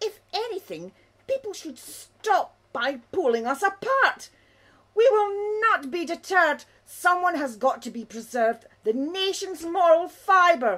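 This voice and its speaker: A female-sounding, cartoonish character voice at an extremely high pitch moves at a fairly slow pace. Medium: puppet. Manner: indignant, scandalised.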